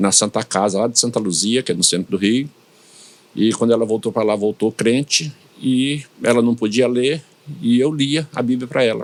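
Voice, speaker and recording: At a moderate pace, a man speaks in a medium pitch with ordinary pitch variation and very even loudness. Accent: slight northeastern Brazilian. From Brazilian Northeast, São Luís, Maranhão. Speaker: pastor. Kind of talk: interview. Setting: studio podcast.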